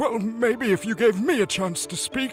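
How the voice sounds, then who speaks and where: A put-on character voice at a moderate pace against clear background noise. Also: man, high pitch for a man. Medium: audio drama. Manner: anxious, alarmist.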